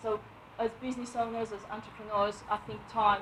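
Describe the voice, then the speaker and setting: The intonation is monotone and flat. Noticeable noise runs in the background. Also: woman. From Romania. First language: Romanian. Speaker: property investor and letting agent. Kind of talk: book review talk at networking event. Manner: halting, many fillers.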